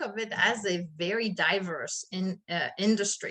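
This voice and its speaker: A woman speaks with a French accent. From France. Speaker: HR consultant. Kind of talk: interview.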